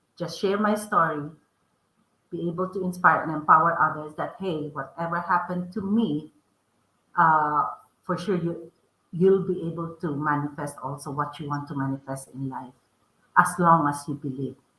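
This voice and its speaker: A woman's fairly low voice in a strong Filipino accent, with fairly even intonation, moderate pace, big swings in loudness and long, frequent pauses. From Philippines. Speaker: author and podcast host. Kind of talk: interview.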